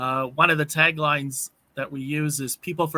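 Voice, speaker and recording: A man with a slight Canadian accent speaks fairly slowly in a fairly high, bright and sharp voice with fairly even intonation and a dry, close sound free of echo. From Canada. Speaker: networking program member. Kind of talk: panel discussion.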